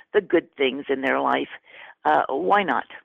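Vocal fry runs through this woman's voice. She speaks at a moderate pace with an American accent. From Texas. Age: 80s+. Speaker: memoir author. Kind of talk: interview. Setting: radio interview.

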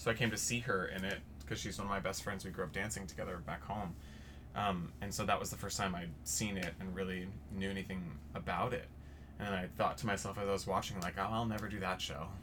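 A man with an American accent speaks very fast at a very deep, low pitch in a bright, sharp tone. His pitch varies in an ordinary way, and audible room echo surrounds him. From Texas. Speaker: stage actor. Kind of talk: casual chat.

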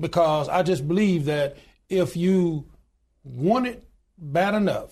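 The voice has a dark, mellow tone and ordinary pitch variation, spoken in an Alabama accent. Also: man. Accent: Southern US (Alabama). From US South, Alabama. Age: 60s. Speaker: union leader and pastor. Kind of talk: interview.

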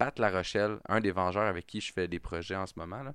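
On a very clean recording with a silent background, a man with a Quebec accent speaks at a fairly low pitch and moderate pace. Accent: Québécois French. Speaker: podcast host. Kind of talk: casual chat. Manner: animated.

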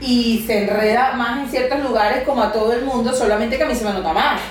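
Over noticeable background noise, a woman speaks with fairly even intonation at a fairly high pitch. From Venezuela. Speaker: comedian and occupational therapist. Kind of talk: casual interview chat. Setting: home recording.

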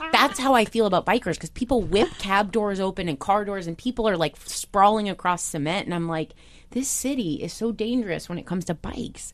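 A normal speaking voice from a woman with an American accent, medium in pitch, fairly quick with hardly any pauses, and ordinary pitch variation. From US Midwest, Iowa. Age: 30s. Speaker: TV news correspondent. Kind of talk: interview.

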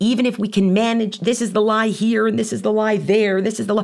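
Vocal fry on a very clean recording with a silent background. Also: woman. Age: 40s. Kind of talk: teaching from classical texts.

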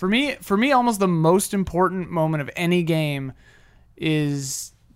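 A man with a fairly high pitch and ordinary pitch variation, using an unremarkable speaking voice. The recording is very clean, with a silent background. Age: 30s. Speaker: video game podcast co-host. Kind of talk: casual chat.

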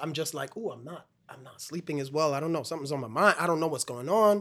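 Speaking with ordinary pitch variation, a man with a normal speaking voice sits at a fairly high pitch. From Brooklyn, New York (West Indian family). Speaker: stage actor. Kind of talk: casual chat.

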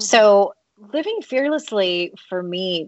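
With an American accent, a woman speaks in a normal speaking voice at a moderate pace, her intonation lively. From United States. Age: 40s. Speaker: author and life coach. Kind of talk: interview.

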